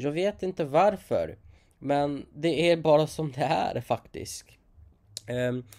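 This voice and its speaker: A man with a non-native accent speaks at a fairly high pitch. His pitch variation is ordinary. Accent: non-native Swedish. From outside Sweden. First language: not Swedish (speaking Swedish). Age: 20s. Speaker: vlogger. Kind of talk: casual monologue.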